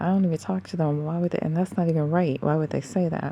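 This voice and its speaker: A soft-spoken woman talks in a very deep, low voice with a dark, mellow tone and ordinary pitch variation. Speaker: vlogger. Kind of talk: casual monologue vlog. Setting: at home at night before sleep. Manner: soft-spoken, talking low.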